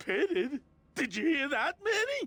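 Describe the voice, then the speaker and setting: A man puts on a character voice pitched extremely high, with very wide pitch swings and a moderate pace. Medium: video game. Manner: friendly, enthusiastic.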